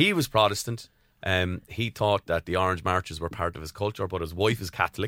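Recorded very cleanly against a silent background, a man with a Waterford Irish accent talks in a very deep, low pitch, the sound dry and close with no echo. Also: ordinary pitch variation, fairly quick pace. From Ireland, County Waterford. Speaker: singer and percussionist. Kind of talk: casual chat. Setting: studio.

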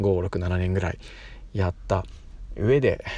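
Somewhat breathy and very deep in pitch, the man speaks with fairly even intonation. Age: 30s. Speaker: podcaster and schoolteacher. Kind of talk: casual monologue. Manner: hesitant, many fillers.

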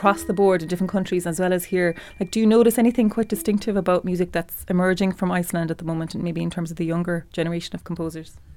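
A woman with a Cork accent, medium pitch, ordinary pitch variation, and a very fast pace. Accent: Irish, Cork. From Ireland, Cork. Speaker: composer. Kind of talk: interview. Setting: studio.

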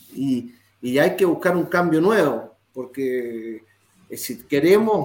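This man talks at a very slow pace. His intonation is lively. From Chile. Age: 60s. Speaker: retired footballer. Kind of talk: interview.

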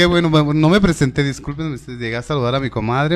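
Talking at a fairly quick pace, a man uses an unremarkable speaking voice at a fairly high pitch with ordinary pitch variation. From Tlaquepaque, Jalisco, Mexico. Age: 30s. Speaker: podcast host, stand-up comedian and impressionist. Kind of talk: casual chat; live show presenting.

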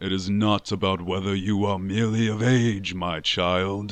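A man uses a gruff put-on character voice pitched fairly low. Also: moderate pace.

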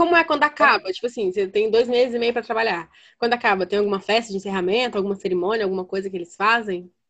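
Words come at a very fast pace with hardly any pauses and ordinary pitch variation. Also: woman, fairly high pitch for a woman. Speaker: podcast host. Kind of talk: casual chat.

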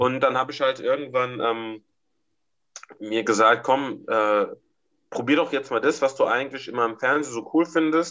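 A man with a medium pitch and a bright, sharp tone talks at a moderate pace. His intonation is fairly even, and he leaves long, frequent pauses. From Germany, Mainz. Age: 20s. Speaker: amateur fighter. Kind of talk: casual chat.

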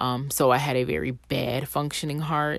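The voice has vocal fry. Its intonation is fairly even. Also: woman. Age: 30s. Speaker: podcast host. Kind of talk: solo faith reflection monologue. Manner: conversational.

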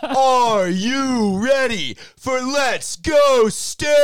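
Someone uses a high-pitched, put-on character voice at a very slow pace. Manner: hyped, energetic, excited.

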